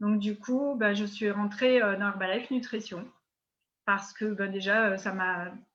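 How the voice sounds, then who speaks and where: At a fairly slow pace, a woman delivers her words. Her voice is medium in pitch. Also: fairly even intonation. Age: 60s. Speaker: network marketing distributor. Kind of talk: interview. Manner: hesitant, many fillers.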